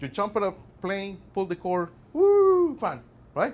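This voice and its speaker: A man with a non-native accent speaks in a high, animated voice with lively intonation. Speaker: workplace safety presenter. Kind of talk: presentation to a class. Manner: animated, conversational.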